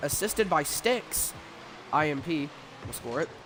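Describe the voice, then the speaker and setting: A man with lively intonation against noticeable background noise. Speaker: sports commentator. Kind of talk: live commentary.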